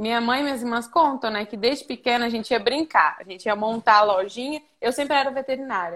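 Her pitch high, a woman talks at a very fast pace with hardly any pauses. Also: ordinary pitch variation. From Minas Gerais, Brazil. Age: 20s. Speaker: veterinary student intern. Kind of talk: casual interview on a live stream. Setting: remote call from a farm.

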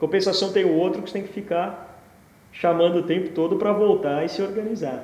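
There is audible room echo as a man talks in a high pitch with fairly even intonation. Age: 40s. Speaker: entrepreneur. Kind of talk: interview.

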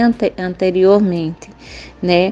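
A woman talks at a fairly slow pace. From Cabrobó, Pernambuco, Brazil. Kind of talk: recorded testimony. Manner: halting.

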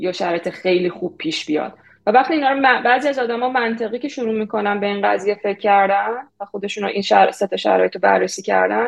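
At a very fast pace, a woman with a medium pitch and vocal fry speaks with ordinary pitch variation. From Iran. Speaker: product manager. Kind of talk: interview.

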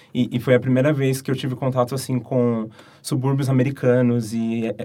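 Flat and monotone in intonation, a man speaks at a medium pitch with a dark, mellow tone. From Brazil. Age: 20s. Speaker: university student. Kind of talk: casual chat.

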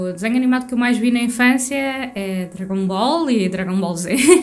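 With noticeable background noise and audible room echo, a woman talks with hardly any pauses. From Portugal. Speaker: podcast co-host. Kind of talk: casual chat.

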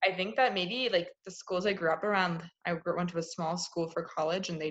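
In a normal speaking voice, a woman talks at a fairly quick pace with fairly low pitch and fairly even intonation. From Maryland, suburb of Washington D.C. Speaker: graduate student, podcast host. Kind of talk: casual chat.

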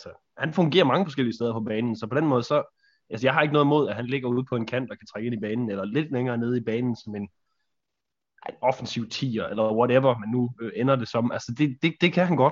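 Talking at a very fast pace, a man keeps a medium pitch. His pitch variation is ordinary. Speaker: football podcast co-host. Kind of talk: casual chat. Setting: virtual studio. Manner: halting.

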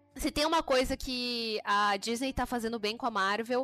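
The dry, close recording with no echo carries a woman's high voice with ordinary pitch variation. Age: 20s. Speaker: podcast co-host. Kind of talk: casual chat.

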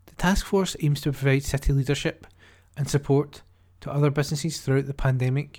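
In a very clean recording with a silent background, a man talks at a fairly quick pace in a fairly high, somewhat breathy voice with fairly even intonation. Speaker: volunteer newsreader. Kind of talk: newsreading, reading newspaper articles aloud. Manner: steady, clear, even newsreader delivery with occasional stumbles.

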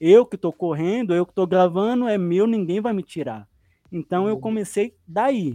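Over a quiet background, a man with a dark, mellow tone and lively intonation speaks at a fairly slow pace, the sound dry and close with no echo. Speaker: sim racing driver and streamer. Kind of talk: casual chat.

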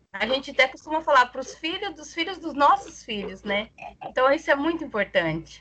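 Over noticeable background noise, a woman with a raised, projected voice speaks at a fairly quick pace in a high pitch, with very wide pitch swings and big swings in loudness. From Brazil, interior of Mato Grosso (Tangará da Serra). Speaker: community activist. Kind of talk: casual panel conversation.

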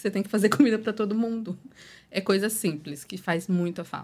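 Words come out very quickly. The pitch moves up and down in a normal way. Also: woman. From Espírito Santo, Brazil. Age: 20s. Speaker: social media influencer and mother of four. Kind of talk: casual podcast chat.

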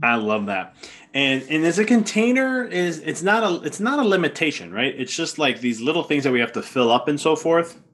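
Very wide pitch swings mark this man's enthusiastic delivery, which moves at a fairly quick pace. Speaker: podcast host. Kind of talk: casual interview.

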